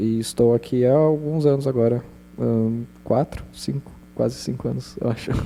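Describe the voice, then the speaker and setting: Here a man speaks with a dark, mellow tone. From São Paulo state, Brazil (interior). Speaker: panelist. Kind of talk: panel discussion.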